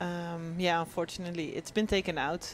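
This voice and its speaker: With a Dutch accent, a woman talks at a moderate pace in a fairly low pitch. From Netherlands. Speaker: former pro cyclist, race commentator. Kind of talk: live race commentary.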